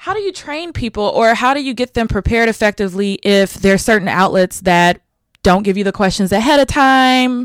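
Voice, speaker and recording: Her pitch is fairly high and her intonation lively. The woman keeps a moderate pace. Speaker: podcast host and publicist. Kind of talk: casual interview chat. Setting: socially distanced in person, same room. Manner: energetic, upbeat, chatty.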